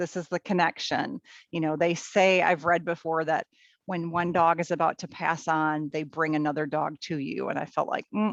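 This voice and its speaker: In a dry, close recording with no echo, a woman with an American accent speaks in a fairly low voice with fairly even intonation. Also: quiet background. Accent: Minnesota accent, comes out on some words. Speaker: teacher and volunteer puppy raiser. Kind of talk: interview. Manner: hesitant, many fillers.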